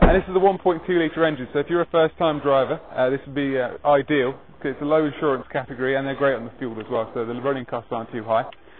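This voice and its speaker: Over noticeable background noise, a man talks at a very fast pace with big swings in loudness and ordinary pitch variation. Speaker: car salesman. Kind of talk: sales walkaround presentation. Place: street.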